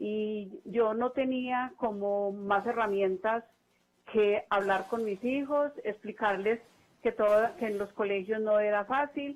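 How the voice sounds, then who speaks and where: Pitch varies in an ordinary way as this woman talks very slowly. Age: 70s. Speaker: caller, retired nurse. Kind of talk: call-in testimony.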